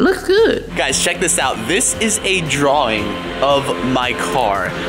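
Clear music plays in the background as the speaker talks at a very slow pace. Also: man. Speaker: vlogger. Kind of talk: casual vlog chat. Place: garage. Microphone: phone near.

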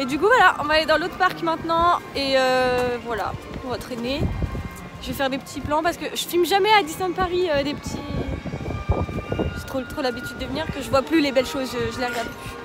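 Clear music plays in the background as a woman talks at a fairly quick pace. The sound is dry, with no echo. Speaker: vlogger. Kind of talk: casual vlog chat. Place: street. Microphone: phone near.

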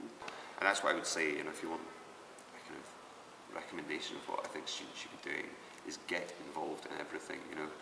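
Noticeable background noise runs under the clip. A man talks at a fairly quick pace. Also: big swings in loudness. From Scotland, Aberdeenshire; Scotland. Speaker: university lecturer; university media lecturer. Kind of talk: interview. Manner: hesitant, many fillers. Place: hall. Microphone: camera far.

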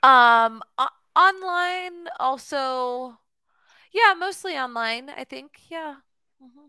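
A woman with a high-pitched, raised and projected voice speaks very slowly with lively intonation and long, frequent pauses, in a very clean recording with a silent background. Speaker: online English tutor. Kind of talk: casual conversation lesson. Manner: hesitant, many fillers.

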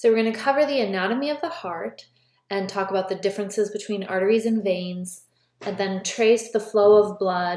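A woman with an unremarkable speaking voice holds a medium pitch and a moderate pace, her pitch varying in an ordinary way. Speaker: college biology instructor. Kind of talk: lecture. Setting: recorded lecture video.

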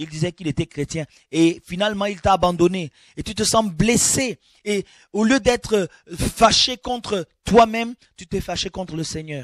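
Against a quiet background, a man speaks high-pitched and fairly slowly, with ordinary pitch variation and big swings in loudness. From Gabon. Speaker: preacher. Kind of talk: sermon. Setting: studio. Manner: animated.

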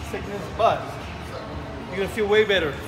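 Clear music plays in the background. A man speaks over it. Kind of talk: casual vlog chat. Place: gym. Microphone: phone near.

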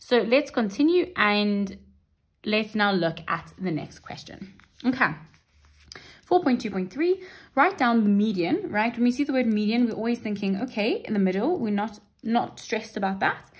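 On a very clean recording with a silent background, a woman with a fairly high pitch speaks at a moderate pace, somewhat breathy and with lively intonation. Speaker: maths literacy teacher. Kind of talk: tutorial. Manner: explanatory, steady.

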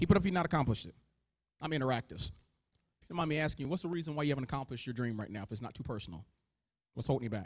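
Against a quiet background, a man speaks at a very fast pace with lively intonation and an animated tone, broken by long, frequent pauses. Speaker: motivational speaker. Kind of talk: motivational keynote speech. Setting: stage with audience. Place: hall. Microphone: handheld.

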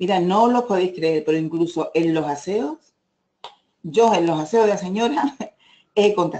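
In an Andalusian accent, the speaker moves at a fairly slow pace with long, frequent pauses. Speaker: direct sales manager. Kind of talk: presentation.

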